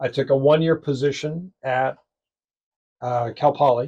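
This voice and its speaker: Speaking in an American accent, a man has a fairly high, somewhat breathy voice with a dark, mellow tone and monotone, flat intonation. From US Midwest (suburban Chicago). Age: 70s. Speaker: radio talk show host. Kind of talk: interview. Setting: radio studio booth.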